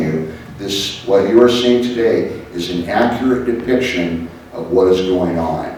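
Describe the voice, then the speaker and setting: Audible room echo and noticeable background noise surround a man's voice. His pitch is fairly low, with ordinary variation. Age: 60s. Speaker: law enforcement speaker on trafficking. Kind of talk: educational talk.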